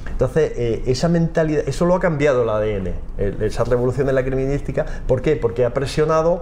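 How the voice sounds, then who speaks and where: The pace is fairly quick. Noticeable background noise runs throughout. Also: man. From Almería, Spain. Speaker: forensic geneticist and professor. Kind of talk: interview. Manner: halting.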